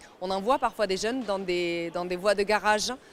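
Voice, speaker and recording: A woman at a moderate pace. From France, Seine-Saint-Denis (Paris suburbs). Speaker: mayor. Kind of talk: interview. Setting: job fair at a stadium. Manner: hesitant, many fillers.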